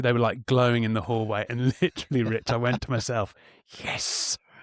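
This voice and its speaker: An animated voice with an English accent at a fairly quick pace, the sound dry and close with no echo. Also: man. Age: middle-aged. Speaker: podcast co-host. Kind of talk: casual chat.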